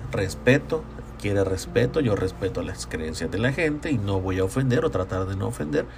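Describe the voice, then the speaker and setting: With a Salvadoran accent, a man speaks at a very deep, low pitch with very wide pitch swings, at a moderate pace, against noticeable background noise. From El Salvador, San Salvador. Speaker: podcaster. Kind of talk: solo monologue. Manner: halting.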